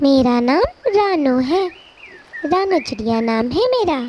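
Using a cartoonish character voice, a woman speaks at a very slow pace in a high pitch with very wide pitch swings. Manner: polite, soft, shy.

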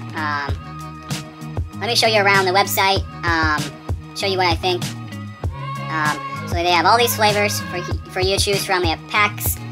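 Over clear background music, a man with a fairly high pitch and very wide pitch swings speaks at a moderate pace, leaving long, frequent pauses. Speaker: vlogger. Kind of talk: casual talk to camera. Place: home room.

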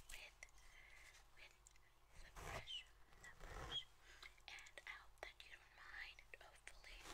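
This woman talks at a very slow pace. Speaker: ASMR artist. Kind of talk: ASMR personal attention role play. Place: home room. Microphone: earbuds.

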